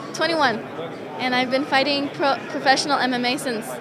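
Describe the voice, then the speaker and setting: Over crowd noise and audible room echo, a woman with an American accent speaks at a high pitch with fairly even intonation. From US, Denver. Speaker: mixed martial arts fighter. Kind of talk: media day interview.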